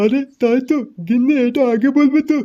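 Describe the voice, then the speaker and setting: This is a cartoonish character voice with a high pitch. The pace is moderate. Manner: folksy, warm.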